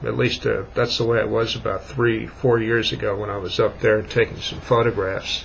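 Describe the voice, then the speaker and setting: Noticeable background noise sits behind the speech. A man talks at a fairly quick pace. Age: 60s. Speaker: vlogger. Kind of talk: casual monologue. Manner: halting.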